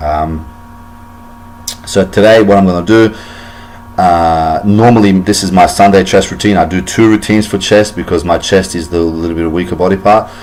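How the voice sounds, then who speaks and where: The man's voice has a very deep, low pitch at a moderate pace. Noticeable background noise is present. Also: fairly even intonation. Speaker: fitness vlogger. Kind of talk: tutorial. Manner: many fillers and repetitions.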